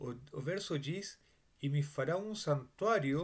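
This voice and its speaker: A man with a strong Spanish accent speaks very slowly at a fairly high pitch, with lively intonation. The recording is very clean, with a silent background. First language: Spanish (speaking Portuguese). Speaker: Bible teacher. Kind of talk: Bible study lecture. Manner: halting, with many fillers and restarts.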